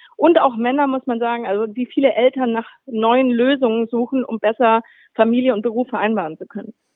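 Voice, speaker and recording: Fairly quick and with fairly even intonation, a woman speaks. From Swabia, southern Germany. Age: 40s. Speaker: magazine editor-in-chief. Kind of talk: interview.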